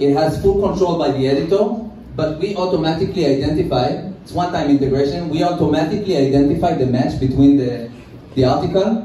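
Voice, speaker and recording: Audible room echo and light background noise surround a man's voice. His pitch varies in an ordinary way. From Israel. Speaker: tech company CEO; presenter. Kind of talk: conference presentation. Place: hall.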